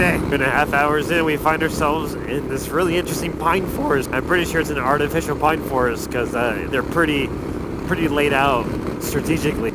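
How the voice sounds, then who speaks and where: A man at a fairly high pitch and fairly quick pace, with noticeable background noise and audible room echo. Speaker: motorcycle travel vlogger. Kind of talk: vlog narration while travelling.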